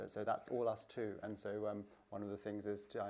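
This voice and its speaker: Against noticeable background noise, a man speaks with a fairly low pitch and monotone, flat intonation. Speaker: academic, exhibition curator. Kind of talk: panel discussion. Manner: quick.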